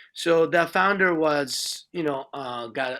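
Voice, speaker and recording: A man with a Japanese accent speaks in a bright, sharp tone. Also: very clean recording, silent background. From Japan, Nagoya. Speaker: speaker on Shinto at an interfaith event. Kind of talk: presentation to an audience. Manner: halting, many fillers.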